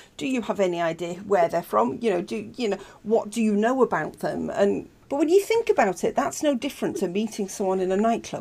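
A woman with vocal fry speaks at a fairly quick pace, her pitch fairly high and her intonation lively. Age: 40s. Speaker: university student and streamer. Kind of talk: casual interview chat. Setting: video call from a blanket fort.

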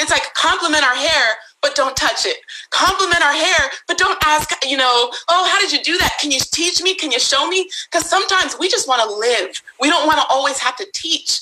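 Over noticeable background noise, a woman with a high pitch speaks at a fairly quick pace in a raised, projected voice, using lively intonation. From US West Coast, San Francisco Bay Area. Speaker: Instagram content creator. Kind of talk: casual interview. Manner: animated.

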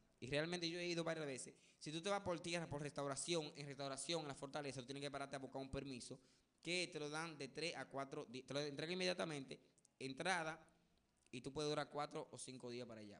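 Talking at a very fast pace, this man has a fairly high pitch. The pitch shows ordinary variation. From Dominican Republic. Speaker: radio morning show host. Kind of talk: casual news chat.

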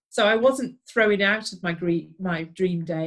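A woman's medium-pitched voice with an English accent, ordinary pitch variation and a moderate pace. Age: 50s. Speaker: former nurse. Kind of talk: interview.

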